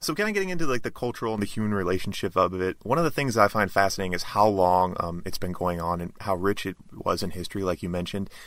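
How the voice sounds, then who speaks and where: Very fast and with hardly any pauses, a man speaks with ordinary pitch variation. The recording is very clean, with a silent background. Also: fairly low pitch for a man. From North Dakota. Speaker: podcast host. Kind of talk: casual interview; scripted outro. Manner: halting, many fillers.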